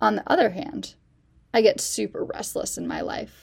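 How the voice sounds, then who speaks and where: This voice has an American accent. It moves at a fairly quick pace. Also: woman. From US Midwest, Chicago suburbs. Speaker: campus minister. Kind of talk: personal reflection.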